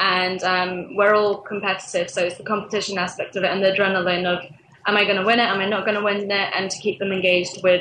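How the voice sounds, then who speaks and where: A woman talks very fast in a medium-pitched voice. Her intonation is monotone and flat, with noticeable background noise. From England. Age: 20s. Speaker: social media manager at a games startup. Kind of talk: interview.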